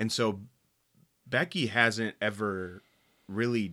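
In a very clean recording with a silent background, a man talks. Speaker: youth pastor and podcast host. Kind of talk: casual chat. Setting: studio. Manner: loud.

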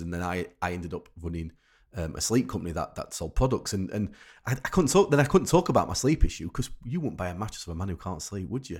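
In a very clean recording with a silent background, a man with a very deep, low pitch talks at a very fast pace and sounds somewhat breathy. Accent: Yorkshire. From Rotherham, South Yorkshire, England. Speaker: sleep expert. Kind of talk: interview. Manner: halting, many repetitions.

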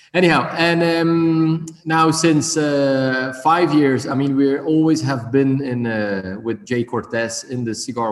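With ordinary pitch variation, a man talks at medium pitch against noticeable background noise. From Belgium. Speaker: cigar company owner. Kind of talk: interview. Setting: video call. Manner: halting.

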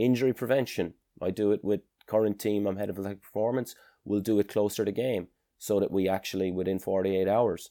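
Speech races along at a very fast pace. The tone is dark and mellow, the intonation fairly even. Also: man, very clean recording, silent background. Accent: Irish. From Ireland. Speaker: strength and conditioning coach and sports scientist. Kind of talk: interview.

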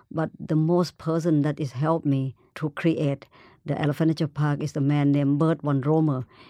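Her voice sits very deep and low for a woman, with a dark, mellow tone. She keeps fairly even intonation at a moderate pace, and the sound is dry and close with no echo. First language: Thai. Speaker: animal conservationist. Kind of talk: interview. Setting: studio in New York.

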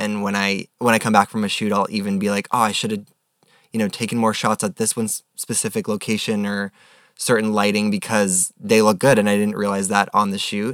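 On a very clean recording with a silent background and a dry, close sound with no echo, a man talks fairly quickly in a fairly low voice with a bright, sharp tone and fairly even intonation. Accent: American. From New York. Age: 20s. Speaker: photographer. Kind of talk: casual chat.

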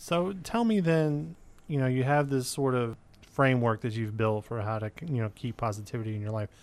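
With a plain, everyday voice at medium pitch, a man speaks with lively intonation against a quiet background. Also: fairly quick pace. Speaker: college radio host. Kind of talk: interview.

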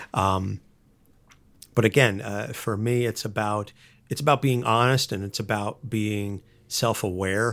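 A man talks at a fairly slow pace with a fairly low pitch and fairly even intonation. Long, frequent pauses break up his speech in a very clean recording with a silent background. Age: 30s. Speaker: podcast co-host, comic book enthusiast. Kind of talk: casual interview. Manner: halting, many fillers.

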